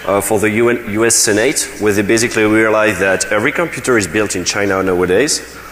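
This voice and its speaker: The speech rushes along at a very fast clip with hardly any pauses and very even loudness. Pitch moves in an ordinary way, and noticeable background noise runs underneath. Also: man, fairly low pitch for a man. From France. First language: French. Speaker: security researcher. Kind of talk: conference talk. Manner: hesitant, many fillers.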